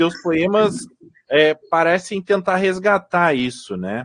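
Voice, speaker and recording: A man's high-pitched voice comes through with a dry, close sound and no echo. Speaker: radio host and journalist. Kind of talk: radio interview. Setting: radio studio.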